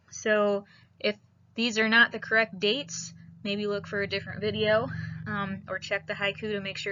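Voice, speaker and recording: A woman speaks in a northern Midwestern US accent at a medium pitch. Her pace is moderate and her intonation monotone and flat. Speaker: high school biology teacher. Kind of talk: recorded lecture. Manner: casual with frequent fillers.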